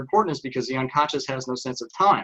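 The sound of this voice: This man speaks with a Texan accent. His tone is bright and sharp, and his pitch varies in an ordinary way.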